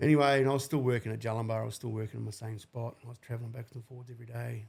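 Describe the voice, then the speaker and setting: A man's somewhat breathy, medium-pitched voice in a New Zealand accent, very fast and monotone, with big swings in loudness. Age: 40s. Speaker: civil construction worker. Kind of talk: podcast interview answer. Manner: casual.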